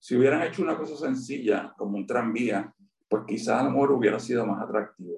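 A man's unremarkable speaking voice at medium pitch, with a fairly quick pace and ordinary pitch variation. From Puerto Rico, Río Piedras. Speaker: urban planner and historian. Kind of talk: interview. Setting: video call.

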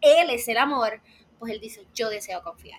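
Her pitch swings very widely up and down. The speaker is a woman. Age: 20s. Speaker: psychology student, faith and mental health content creator. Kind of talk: casual interview chat. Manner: animated.

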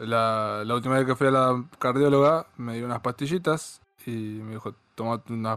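Using a normal speaking voice, a man speaks at a medium pitch with fairly even intonation. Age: 30s. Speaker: podcast host. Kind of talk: casual chat.

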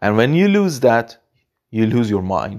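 A man speaks with a non-native accent and very wide pitch swings. The recording is very clean with a silent background. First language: not English. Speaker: podcaster. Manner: unscripted, halting, earnest.

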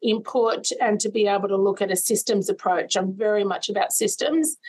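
With an Australian accent, a woman talks in a fairly high voice. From Sydney's western suburbs, Australia. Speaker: nursing college CEO. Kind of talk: interview.

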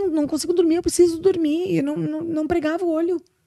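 Speaking at a fairly quick pace, a woman with a southern Brazilian accent has an extremely high pitch and a dark, mellow tone. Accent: Brazilian Portuguese, gaúcho. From interior of Rio Grande do Sul, Brazil. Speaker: social security lawyer. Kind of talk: casual interview.

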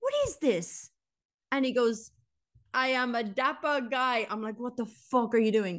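Slowish and high-pitched, a woman speaks in an Irish accent. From Ireland. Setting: home recording.

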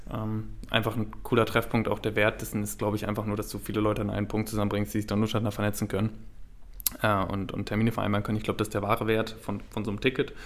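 In a monotone, flat delivery, a man talks at a very fast pace with a fairly low pitch and vocal fry. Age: 20s. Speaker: podcast co-host. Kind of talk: casual chat.

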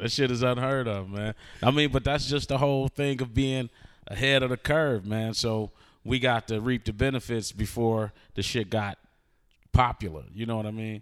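The speaker is a man with a medium pitch. He keeps a moderate pace and fairly even intonation. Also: very clean recording, silent background. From Detroit. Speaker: rapper. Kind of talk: casual interview.

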